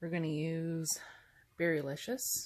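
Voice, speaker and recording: A woman's very deep, low-pitched voice. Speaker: bath bomb maker. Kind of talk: tutorial narration. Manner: unenthusiastic.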